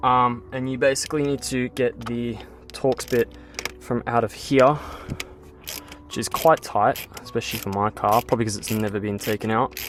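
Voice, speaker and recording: A man with an Australian accent at medium pitch and a moderate pace, fairly even in intonation, with music in the background. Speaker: car enthusiast YouTuber. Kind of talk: car mod tutorial. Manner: quiet.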